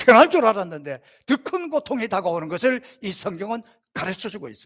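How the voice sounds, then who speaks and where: A man speaks in a high pitch with very wide pitch swings at a moderate pace. The recording is very clean, with a silent background. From South Korea. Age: 60s. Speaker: pastor. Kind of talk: sermon.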